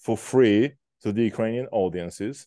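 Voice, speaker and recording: Against a quiet background, a man speaks with ordinary pitch variation in a dry sound with no echo. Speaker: event host, moderator. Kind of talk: formal introduction of a guest speaker.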